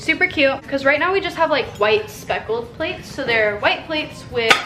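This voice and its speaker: A woman with a high pitch and very wide pitch swings speaks at a moderate pace over noticeable background noise. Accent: American. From US West. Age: 20s. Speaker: vlogger. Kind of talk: casual vlog haul. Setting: at home. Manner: animated.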